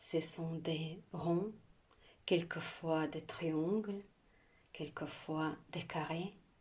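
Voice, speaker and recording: Somewhat breathy and fairly low in pitch, a woman speaks at a very slow pace in a monotone, flat intonation, with long, frequent pauses. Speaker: art instructor. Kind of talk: tutorial.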